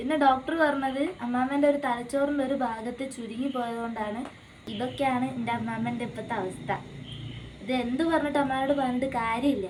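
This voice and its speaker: There is noticeable background noise as a woman speaks in a high voice with fairly even intonation. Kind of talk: casual family vlog talk to camera.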